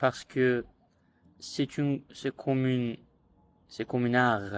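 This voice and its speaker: A man speaks at a medium pitch. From Iran. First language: Azerbaijani (speaking French). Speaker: language learner vlogger. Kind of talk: casual monologue vlog. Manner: halting, many hesitations.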